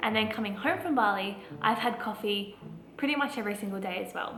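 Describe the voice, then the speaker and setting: A woman talks at a very fast pace with a fairly high pitch and ordinary pitch variation. Noticeable background noise and audible room echo fill the recording. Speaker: lifestyle vlogger. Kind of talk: casual vlog talk.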